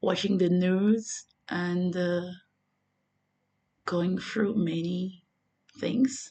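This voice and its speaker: With a French accent and a medium pitch, a woman speaks very slowly with fairly even intonation and long, frequent pauses. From Côte d'Ivoire. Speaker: religious vlogger. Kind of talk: vlog monologue. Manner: halting.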